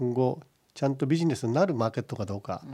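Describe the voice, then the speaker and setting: A man with a dark, mellow tone and a medium pitch talks against a quiet background. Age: 60s. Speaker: pig farming company chairman. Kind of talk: radio interview. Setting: studio.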